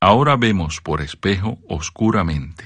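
A man's very deep, low voice in a solemn tone, with lively intonation at a fairly slow pace. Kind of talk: scripture reading. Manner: formal, solemn, measured reading pace; steady, reverent, even intonation.

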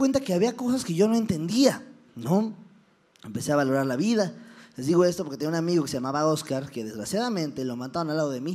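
A man at a very fast pace, high-pitched for a man, with very wide pitch swings. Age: 20s. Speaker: comedian. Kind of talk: motivational talk with stand-up humor. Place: stage.

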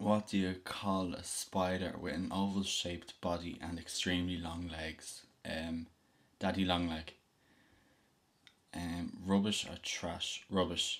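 A man talks at a very slow pace in a Dublin accent. His very deep, low voice stays monotone and flat. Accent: Dublin Irish. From Dublin, Ireland. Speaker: vlogger. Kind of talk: casual talk to camera. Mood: relaxed, playful. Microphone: webcam.

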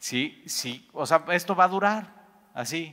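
A man with a Mexican accent speaks at a very slow pace in a bright, sharp tone over a quiet background. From Mexico. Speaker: Bible teacher. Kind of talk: Bible study teaching. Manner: conversational, many fillers. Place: church.

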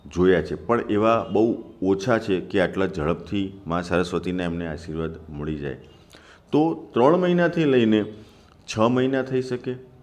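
A man with a fairly low pitch, lively intonation and a plain, everyday voice. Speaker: music teacher. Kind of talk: tutorial.

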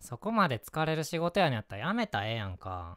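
A man's voice at a fairly quick pace with very wide pitch swings, dry and close with no echo, on a very clean recording with a silent background. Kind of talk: scripted ASMR role-play, acting a worried boyfriend. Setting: home-recorded ASMR video. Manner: heated, scolding, irritated and worried, rapid Kansai-dialect nagging; turns gentle, apologetic and soft after the outburst.

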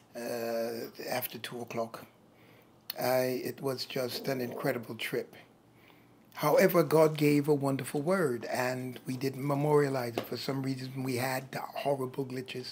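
Against light background noise, a man speaks fairly slowly in a monotone, flat intonation. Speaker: preacher. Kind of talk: sermon-style address to camera. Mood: reflective, calm. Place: office.

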